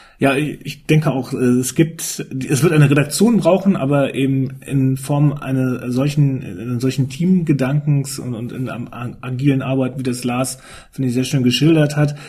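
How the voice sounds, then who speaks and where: A man with a plain, everyday voice speaks at a moderate pace in a medium pitch, his intonation fairly even. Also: hardly any pauses. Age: 50s. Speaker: newspaper editor-in-chief. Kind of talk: casual panel discussion.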